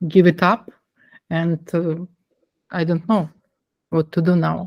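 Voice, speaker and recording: In a non-native accent, a woman speaks at a very slow pace and a fairly low pitch with monotone, flat intonation. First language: not English. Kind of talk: online meeting discussion. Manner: halting.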